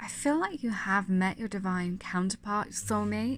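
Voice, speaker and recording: Music is in the background. The woman's voice sits at a medium pitch and shows ordinary pitch variation. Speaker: tarot reader. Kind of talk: tarot reading.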